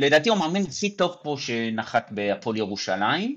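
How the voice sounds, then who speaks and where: His intonation is lively as this man talks. Behind him the background stays quiet. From Israel, Mevaseret Zion near Jerusalem. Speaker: basketball fan guest. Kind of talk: casual sports chat.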